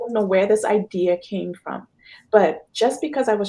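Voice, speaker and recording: A woman speaks with a Trinidadian accent. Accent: Trinidadian accent, noticeable. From Trinidad and Tobago. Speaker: financial consultant. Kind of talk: interview.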